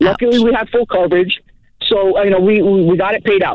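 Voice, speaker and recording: A fairly quick pace with fairly even intonation. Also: man. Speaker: caller. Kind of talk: call-in advice conversation. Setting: phone call.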